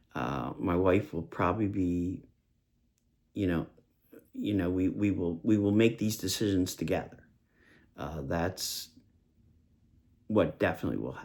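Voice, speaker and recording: A man with a very deep, low voice and vocal fry speaks with lively intonation. His pace is fairly slow, broken by long, frequent pauses. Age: 60s. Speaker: vlogger with Parkinson's disease. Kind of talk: personal video diary. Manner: halting, many fillers.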